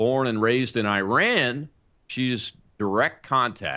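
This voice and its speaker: A man with a normal speaking voice, a medium pitch and ordinary pitch variation. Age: 60s. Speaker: talk show host, retired air force colonel. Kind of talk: scripted monologue; interview.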